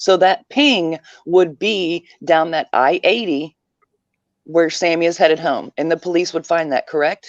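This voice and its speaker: Speaking fairly slowly with a Southern US accent, this voice shows ordinary pitch variation in a dry, close sound with no echo. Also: woman, fairly low pitch for a woman. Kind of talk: casual chat. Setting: live stream.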